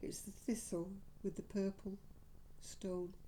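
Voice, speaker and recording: This woman has a dark, mellow tone at medium pitch and keeps a moderate pace. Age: 80s+. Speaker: vlogger. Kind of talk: casual chat.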